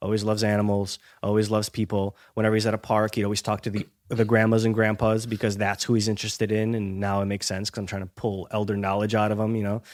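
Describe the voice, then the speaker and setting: With an American accent, a man speaks very fast in a fairly low, monotone, flat voice on a very clean recording with a silent background. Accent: American English, learned by age six. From Ukraine, moved to US around age four. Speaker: health coach. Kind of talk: podcast interview. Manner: halting, many restarts and fillers.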